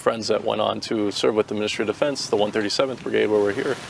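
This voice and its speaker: A man with a Boston accent talking at a very fast pace over noticeable background noise. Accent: Boston American English. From US Northeast, Boston. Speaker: volunteer soldier, US Air Force veteran. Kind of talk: interview answers. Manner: hesitant, repetitive fillers.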